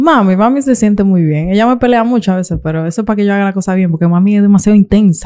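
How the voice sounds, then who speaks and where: Someone with a Dominican accent speaks at a very fast pace with hardly any pauses, in a dark, mellow tone. Pitch variation is ordinary, and the background is quiet. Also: woman, medium pitch for a woman. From Santo Domingo, Dominican Republic; Dominican Republic. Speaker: YouTuber; interview guest, content creator. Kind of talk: interview. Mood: candid, somewhat aggrieved at times. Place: studio. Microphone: studio mic.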